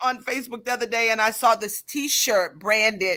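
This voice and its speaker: Bright and sharp in tone, a woman's raised, projected voice carries lively intonation. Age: 60s. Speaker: pastor. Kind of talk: casual chat. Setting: studio.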